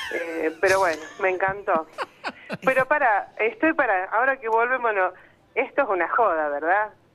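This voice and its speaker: Music plays in the background. Over it, a woman speaks with lively intonation. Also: medium pitch for a woman, moderate pace. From Argentina, Santa Fe province. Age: 50s. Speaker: radio caller. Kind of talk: phone-in conversation, emotional personal story.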